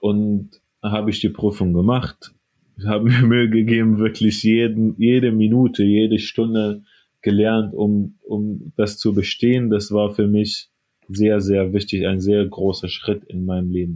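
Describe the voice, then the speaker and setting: Talking at a fairly slow pace, a man with an Arabic accent speaks at a fairly low pitch in a monotone, flat intonation. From Syria, Aleppo. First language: Arabic (speaking German). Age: 20s. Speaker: radiology assistant. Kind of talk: interview.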